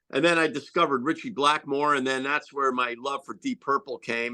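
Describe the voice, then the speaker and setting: Against a quiet background, a man with an American accent speaks at a fairly high pitch in a bright, sharp tone. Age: 60s. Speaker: rock guitarist. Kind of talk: interview. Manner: animated.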